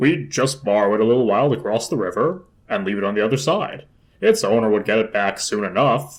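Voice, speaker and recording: A man does a gruff, put-on character voice at a medium pitch. He talks at a fairly quick pace. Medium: read story. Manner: gruff, brusque.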